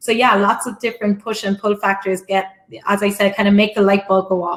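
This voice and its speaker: A woman speaks with an Irish accent. Her pitch is medium and her pace fairly quick. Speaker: conference speaker on international business expansion. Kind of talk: casual business talk, many fillers. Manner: fast talker.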